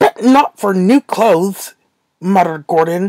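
Woman with an animated tone and lively intonation, vocal fry, moderate pace, and a dry, close sound with no echo. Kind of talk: audiobook-style story narration. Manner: animated, expressive storyteller; voices characters with changing tone.

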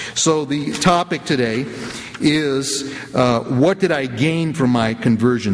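A man speaks with an American accent. His pitch is fairly high. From US, the Bronx, New York; New York. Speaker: debate moderator. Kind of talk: formal introduction of a debate. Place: church. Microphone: podium.

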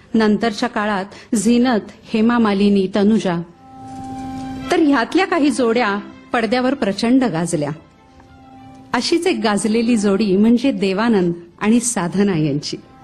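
Faint music plays in the background as a woman with a fairly high pitch speaks at a very even loudness. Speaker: voice-over artist. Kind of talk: music show commentary narration. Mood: warm, expressive. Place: stage. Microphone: handheld.

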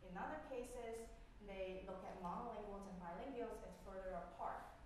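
Moderate-paced speech from a woman with ordinary pitch variation, strong room echo and light background noise. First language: Cantonese. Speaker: professor. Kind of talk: lecture. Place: classroom.

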